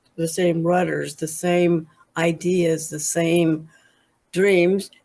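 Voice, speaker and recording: A woman's fairly low, dark and mellow voice, monotone and flat in intonation, at a very slow pace. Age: 80s+. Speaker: group participant. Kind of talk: casual chat.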